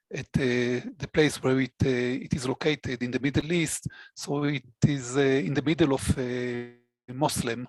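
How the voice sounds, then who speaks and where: Recorded with a dry, close sound and no echo, a man at medium pitch speaks at a very slow pace with fairly even intonation. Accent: Israeli. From Israel. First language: Hebrew. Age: 60s. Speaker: database administrator. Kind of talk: interview conversation. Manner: halting, many fillers.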